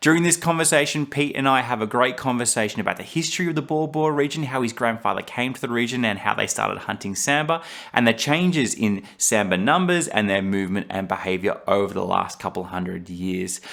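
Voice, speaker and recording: Here a man with an unremarkable speaking voice talks at a medium pitch and a fairly quick pace, with hardly any pauses. His intonation is lively. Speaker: podcast host; hunter. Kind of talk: podcast intro narration.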